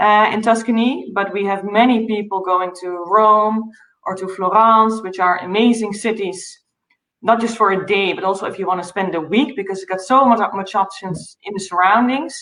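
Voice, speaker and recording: Audible room echo around a voice with a Dutch accent. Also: woman, medium pitch for a woman, fairly even intonation, moderate pace. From Netherlands. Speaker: travel company founder. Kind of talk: interview.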